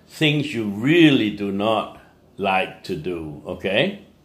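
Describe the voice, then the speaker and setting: The pace is very slow. Room echo can be heard. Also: man. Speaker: English teacher. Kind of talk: motivational talk. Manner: animated.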